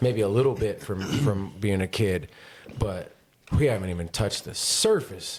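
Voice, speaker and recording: A man with a fairly low pitch speaks at a moderate pace with ordinary pitch variation and long, frequent pauses. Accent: American. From northern California, Grass Valley. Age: 40s. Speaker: podcast host. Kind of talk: casual chat.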